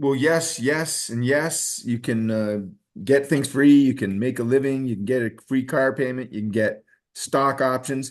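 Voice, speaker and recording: A man with an unremarkable speaking voice talks at a fairly slow pace in a medium pitch. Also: ordinary pitch variation. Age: 60s. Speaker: network marketing distributor. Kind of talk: sales pitch. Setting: video call.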